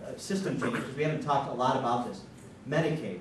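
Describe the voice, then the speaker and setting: Light background noise and audible room echo surround a man as he speaks. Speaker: candidate. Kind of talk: forum speech. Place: hall.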